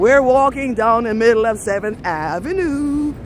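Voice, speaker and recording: An animated woman's high voice in an American accent, with noticeable background noise. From Belize. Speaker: travel vlogger. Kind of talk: live-stream walking tour. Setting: outdoors, city streets.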